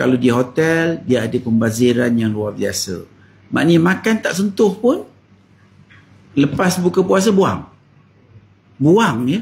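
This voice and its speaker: A man speaks at a fairly high pitch, somewhat breathy, with very wide swings in pitch. His pace is very slow, broken by long, frequent pauses. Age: 60s. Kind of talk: talk to camera.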